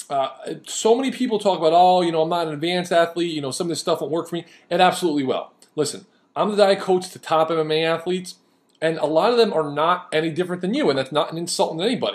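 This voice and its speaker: Speaking at a very fast pace, a man uses a high pitch with ordinary pitch variation. His tone is animated. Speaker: diet coach. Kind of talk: video lecture.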